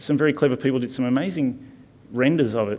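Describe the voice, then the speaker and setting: Medium-pitched male speech with an Australian accent and fairly even intonation. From Tasmania, Launceston. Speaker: architect. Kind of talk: conference lecture. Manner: fast; casual, hesitant with fillers.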